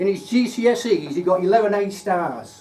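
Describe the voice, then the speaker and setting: Noticeable background noise accompanies a speaker with a Lincolnshire accent. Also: man. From Lincolnshire, England. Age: 60s. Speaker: retired engineer giving a club speech. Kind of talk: prepared speech. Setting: speaking club meeting with audience. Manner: formal.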